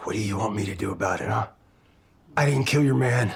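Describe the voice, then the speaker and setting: A man puts on a raspy character voice with a fairly low pitch. He talks at a fairly quick pace with lively intonation. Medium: short film. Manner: scornful, defiant.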